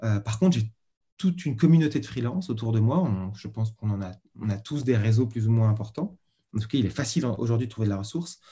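The man talks at a very fast pace with lively intonation. His tone is dark and mellow, and somewhat breathy. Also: medium pitch for a man. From Paris region, France. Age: 40s. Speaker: freelance designer. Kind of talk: interview.

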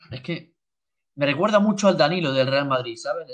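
A man speaks at a fairly quick pace with lively intonation. His pitch is fairly high. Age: 20s. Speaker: amateur football goalkeeper. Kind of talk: casual chat.

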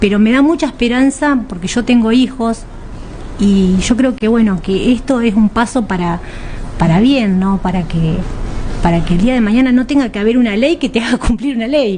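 Noticeable background noise runs under a woman speaking at a moderate pace. Her fairly high pitch shows ordinary variation. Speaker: union gender representative and food technician. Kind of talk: radio interview.

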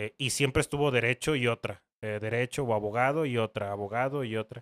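On a very clean recording with a silent background and a dry, close sound with no echo, a man speaks at medium pitch. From northern Mexico, Ciudad Juárez, Chihuahua. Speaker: lawyer. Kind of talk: casual interview. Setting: home office.

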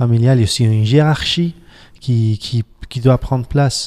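A man with a Spanish accent speaks at a moderate pace and medium pitch in a dark, mellow tone, with a dry, close sound and no echo. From Spain, Barcelona. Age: 40s. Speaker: pastor. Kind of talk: casual chat. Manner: halting.

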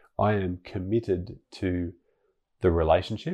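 Pitch rises and falls in an ordinary way here. The voice carries an Australian accent. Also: man. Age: 40s. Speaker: podcast host and life coach. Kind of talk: solo monologue podcast. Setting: home bedroom.

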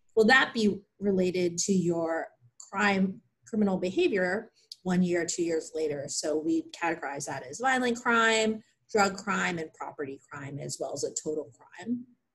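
A woman speaks at a medium pitch and moderate pace, somewhat breathy, with lively intonation. Her loudness swings widely. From Pennsylvania, US. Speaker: clinical psychologist. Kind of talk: research interview.

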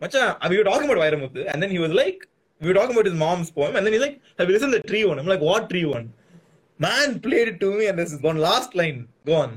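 This speaker has a Tamil accent, talks at a very fast pace and makes very wide pitch swings. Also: man, high pitch for a man. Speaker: podcast host. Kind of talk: casual chat. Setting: video call. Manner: animated.

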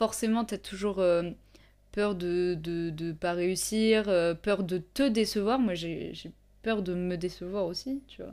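A woman's medium-pitched voice, dark and mellow in tone, with ordinary pitch variation at a very slow pace, on a very clean recording with a silent background. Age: 20s. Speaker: photographer and YouTuber. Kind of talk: casual chat. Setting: home studio with candle, evening.

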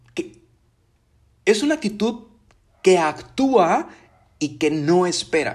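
A man speaks with very wide swings in pitch. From Mexico (Veracruz, Tabasco). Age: 30s. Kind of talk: personal testimony and religious reflection. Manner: casual, with filler hesitations.

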